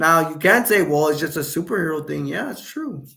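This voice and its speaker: Bright, sharp and animated in tone, a man speaks at a high pitch with ordinary pitch variation on a very clean recording with a silent background. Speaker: YouTube live streamer. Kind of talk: casual live-stream chat.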